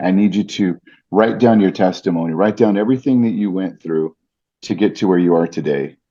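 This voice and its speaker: A man's fairly low voice moves fairly quickly, with pitch that varies in an ordinary way. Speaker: ring announcer. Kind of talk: interview answer.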